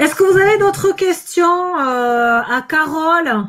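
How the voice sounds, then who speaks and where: A woman with a southern French accent speaks very slowly, her extremely high pitch and bright, sharp tone carrying lively intonation. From southern France. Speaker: life coach. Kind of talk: live video chat. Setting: livestream.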